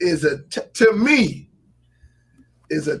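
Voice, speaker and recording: A man talks in an animated tone. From Alabama, Gadsden. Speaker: live stream host, streaming tech channel. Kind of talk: casual live-stream chat.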